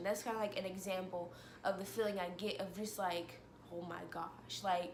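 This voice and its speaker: A woman is speaking in a room with audible echo. Noticeable background noise is present. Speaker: vlogger. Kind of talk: personal vlog monologue. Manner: fast.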